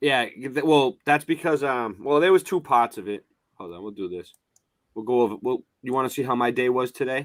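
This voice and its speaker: A man speaks fairly quickly at a medium pitch, with lively intonation and big swings in loudness. The recording is very clean and dry, close with no echo, over a silent background. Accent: strong Boston. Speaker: live streamer. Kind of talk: casual chat. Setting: live stream. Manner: rambling, halting.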